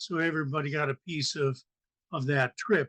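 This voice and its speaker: A man talking at a fairly slow pace. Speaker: poet. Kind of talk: open mic remarks before a reading. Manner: halting, many fillers.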